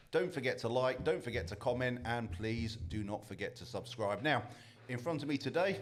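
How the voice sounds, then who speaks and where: An ordinary speaking voice at a moderate pace. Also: man, medium pitch for a man. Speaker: podcast host. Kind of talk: podcast interview questions.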